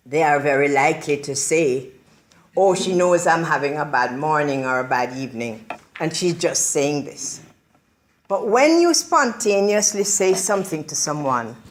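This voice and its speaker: A woman speaks at a moderate pace with lively intonation. Her pitch is very deep and low. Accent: Jamaican. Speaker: motivational speaker. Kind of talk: motivational speech. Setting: public library talk with audience.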